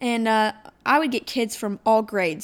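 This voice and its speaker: Moderate pace and ordinary pitch variation in a plain, everyday voice. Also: woman, very clean recording, silent background. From Ohio. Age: 20s. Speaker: podcast host, small business owner. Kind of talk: solo podcast monologue. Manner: casual, chatty.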